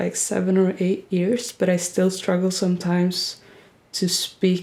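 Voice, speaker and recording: A woman with a Swedish accent, a dark, mellow tone, medium pitch and moderate pace. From Sweden. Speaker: YouTuber. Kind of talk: casual Q&A vlog.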